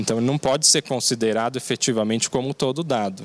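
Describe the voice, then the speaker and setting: This man talks at a moderate pace. The sound is dry and close with no echo, though noticeable background noise can be heard. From Brazil, Mogi das Cruzes (São Paulo state). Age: 30s. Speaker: mayoral candidate, lawyer. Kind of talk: political interview.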